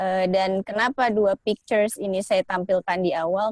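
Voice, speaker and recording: In a normal speaking voice, a woman at medium pitch speaks at a fairly slow pace with fairly even intonation, the sound dry and close with no echo. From Indonesia. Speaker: guest speaker. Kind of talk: online presentation. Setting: video call.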